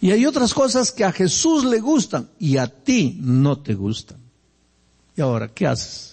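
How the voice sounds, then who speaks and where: A man's high-pitched voice, fairly slow, with very wide pitch swings. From Peruvian Andes. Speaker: pastor. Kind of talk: sermon. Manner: conversational.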